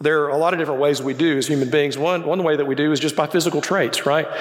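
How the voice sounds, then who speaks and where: A man talks with a Southern US accent over noticeable background noise. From Birmingham, Alabama, US South. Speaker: guest preacher and university professor. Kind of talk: sermon. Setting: church with congregation. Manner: informal, humorous.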